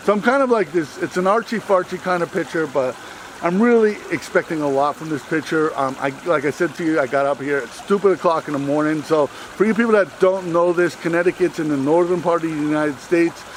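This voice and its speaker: The speech comes very fast with hardly any pauses and ordinary pitch variation, over noticeable background noise. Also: man, high pitch for a man. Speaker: wildlife photographer. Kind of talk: outdoor vlog narration. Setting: outdoors in a forest by a brook.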